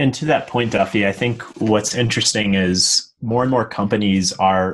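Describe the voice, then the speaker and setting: Fairly low in pitch, a man with a plain, everyday voice speaks with fairly even intonation. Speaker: software engineer, podcast co-host. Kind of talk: casual tech panel chat.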